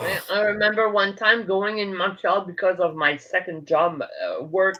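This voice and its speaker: Speaking at a moderate pace, a woman with a Quebec accent uses a medium pitch. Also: fairly even intonation. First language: French. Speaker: livestream guest. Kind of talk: casual chat. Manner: halting.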